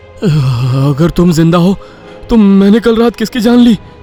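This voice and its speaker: Over clear music in the background, a man does a cartoonish character voice with a high pitch at a moderate pace. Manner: scared, stammering.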